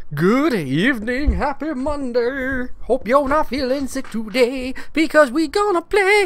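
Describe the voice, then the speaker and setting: There is noticeable background noise. A man speaks at an extremely high pitch. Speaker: live streamer playing video games. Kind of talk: live gameplay stream chat. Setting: live internet stream. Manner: animated.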